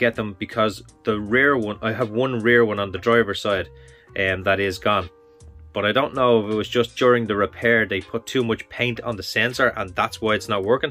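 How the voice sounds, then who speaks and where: Over faint music in the background, a man talks at a moderate pace with fairly even intonation. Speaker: car owner vlogger. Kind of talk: casual vlog chat. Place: garage. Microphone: phone near.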